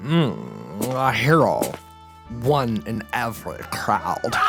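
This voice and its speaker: Loud music plays in the background as a man puts on a character voice, medium in pitch and very slow. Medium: audio drama. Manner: pompous, ornate vocabulary.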